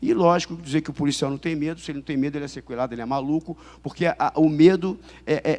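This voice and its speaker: A man speaks at a fairly high pitch. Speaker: police chief and intelligence official. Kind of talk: conference talk. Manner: fast; halting with many fillers and repetitions.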